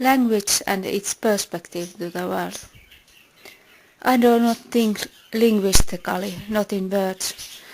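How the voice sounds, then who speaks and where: In a Finnish accent, a woman of medium pitch talks at a very slow pace with long, frequent pauses and fairly even intonation. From Finland. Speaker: philosophy video maker. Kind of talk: scripted narration.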